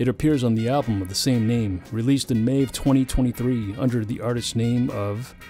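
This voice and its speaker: A man's medium-pitched voice at a fairly quick pace, with fairly even intonation, hardly any pauses, and music in the background. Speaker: poet and music composer. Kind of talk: podcast introduction.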